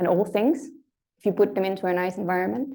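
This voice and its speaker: A woman speaks with vocal fry. Her tone is dark and mellow. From Denmark. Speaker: lecturer. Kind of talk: lecture. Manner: conversational, uses fillers.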